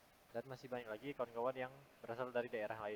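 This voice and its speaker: This man talks at a very fast pace with a medium pitch. His intonation stays monotone and flat. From Indonesia, Pontianak, West Kalimantan. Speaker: university student. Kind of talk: class presentation.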